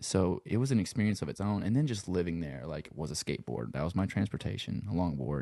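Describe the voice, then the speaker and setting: A man speaks at a very fast pace in a very deep, low pitch. His dark, mellow tone moves through very wide pitch swings. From Lafayette, Louisiana. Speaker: sound engineer and guitarist. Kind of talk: casual chat. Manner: casual, filler-heavy, laid-back.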